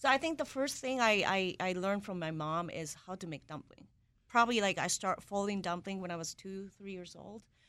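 A woman speaks at a fairly quick pace with a medium pitch and a bright, sharp tone, in a very clean recording with a silent background. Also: lively intonation. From Japan. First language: Japanese. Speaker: executive chef. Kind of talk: interview.

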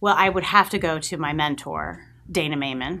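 Very deep and low in pitch, a woman with an American accent speaks at a moderate pace in a bright, sharp tone with ordinary pitch variation. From Long Island, New York. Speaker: agency president. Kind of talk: interview. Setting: live-streamed studio interview.

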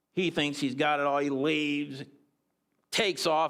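Fairly even intonation at a moderate pace, on a very clean recording with a silent background. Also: man. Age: 50s. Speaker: guest preacher and school teacher. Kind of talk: sermon.

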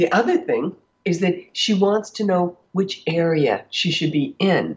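A woman speaks at a fairly slow pace in a fairly low voice with a husky, rough edge and big pitch swings.

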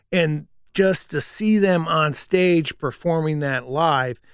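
In a very clean recording with a silent background, a man talks fairly slowly in a normal speaking voice, fairly high in pitch with ordinary pitch variation. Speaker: radio professional and Who fan. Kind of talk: casual chat.

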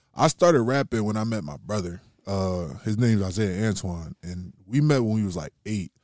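Dry, close sound with no echo from a man with a plain, everyday voice, fairly low-pitched, at a moderate pace, on a very clean recording with a silent background. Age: 20s. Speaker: rapper. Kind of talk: casual chat. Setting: podcast interview.

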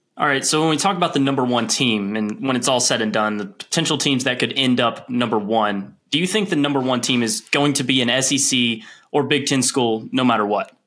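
Speaking at a fairly quick pace with hardly any pauses, a man with an American accent has a bright, sharp tone, medium pitch, ordinary pitch variation and very even loudness. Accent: Southern US, toned down. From Tennessee. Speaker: podcast crew member.

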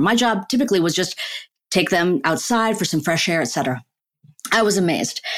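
A woman with a Chicago accent at medium pitch, very fast and with lively intonation, on a very clean recording with a silent background. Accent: General American, Chicago. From US Midwest, Chicago suburbs. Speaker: neuroscientist and author. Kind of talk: interview conversation.

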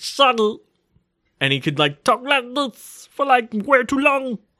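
Fairly slow, fairly high-pitched speech in a put-on character voice. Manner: lazy, rambling.

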